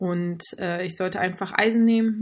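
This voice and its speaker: Somewhat breathy, a woman speaks at a medium pitch. The recording is very clean, with a silent background. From northern Germany, Baltic coast near Fehmarn. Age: 20s. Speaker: amateur triathlete with heart condition. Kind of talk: interview.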